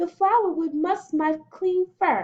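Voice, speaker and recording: The voice is a put-on character voice pitched extremely high. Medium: read story.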